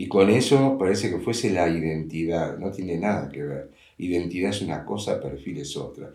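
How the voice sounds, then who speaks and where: Very deep and low, a man's voice carries a dark, mellow tone and lively intonation at a moderate pace. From Uruguay, Montevideo. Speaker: father of the host. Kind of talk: casual chat.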